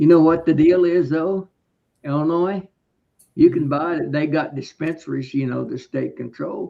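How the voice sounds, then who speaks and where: The man's voice sits fairly high in pitch, with a dark, mellow tone. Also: fairly even intonation, moderate pace. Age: 80s+. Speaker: beekeeper. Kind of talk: casual chat. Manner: halting.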